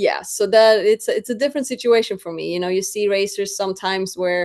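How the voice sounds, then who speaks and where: With a Swedish accent, a woman talks at a fairly quick pace and a medium pitch over a quiet background. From Sweden. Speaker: drag racer. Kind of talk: interview. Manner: animated.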